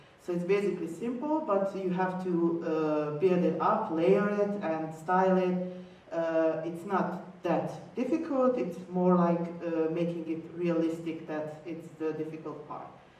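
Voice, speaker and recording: A woman with a non-native accent speaks fairly slowly at a fairly low pitch with ordinary pitch variation, amid audible room echo and noticeable background noise. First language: not English. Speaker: cosplayer. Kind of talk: convention panel talk. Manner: halting, many fillers.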